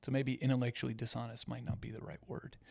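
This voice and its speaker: Soft-spoken, a man talks at a moderate pace. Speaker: ranch owner and news commentary host. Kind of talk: live stream chat reading viewer comments. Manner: halting.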